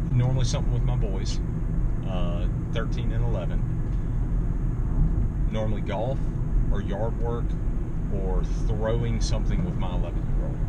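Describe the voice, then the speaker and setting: Through loud background noise, a man talks at a moderate pace, leaving long, frequent pauses. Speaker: guest pastor. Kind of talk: interview answer. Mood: relaxed, cheerful. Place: car. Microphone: phone near.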